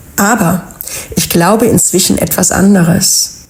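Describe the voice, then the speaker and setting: A woman's medium-pitched, calm voice at a very slow pace, with ordinary pitch variation and noticeable background noise. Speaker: wellness podcast host. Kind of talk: inspirational podcast monologue.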